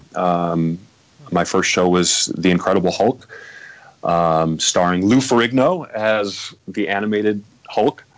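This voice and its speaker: Over noticeable background noise, a man with an American accent speaks fairly slowly in a fairly low voice at very even loudness. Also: ordinary pitch variation. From US Midwest. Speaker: voice actor and producer. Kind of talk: casual chat.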